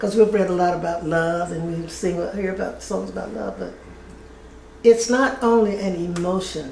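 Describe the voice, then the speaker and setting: With noticeable background noise and audible room echo, a woman speaks at medium pitch. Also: ordinary pitch variation, moderate pace, big swings in loudness. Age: 80s+. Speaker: retired family services worker. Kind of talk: interview. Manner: halting.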